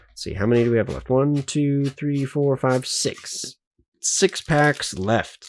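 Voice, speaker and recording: A man talks very slowly and quietly in a fairly high voice with ordinary pitch variation. The sound is dry and close, with no echo. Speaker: YouTuber, card collector. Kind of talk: unboxing video commentary.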